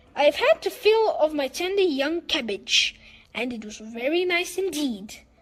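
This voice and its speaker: A woman uses a put-on character voice. She keeps a moderate pace. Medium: read story.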